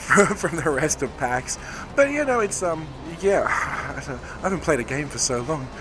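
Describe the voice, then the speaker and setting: Here a man speaks with an Australian accent. His pitch varies in an ordinary way. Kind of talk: interview.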